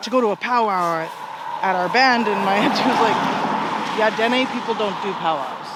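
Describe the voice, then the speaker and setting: Amid noticeable background noise, a woman with a fairly high pitch speaks at a moderate pace with ordinary pitch variation. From Alberta, Canada (Dene). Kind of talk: casual interview answers while walking.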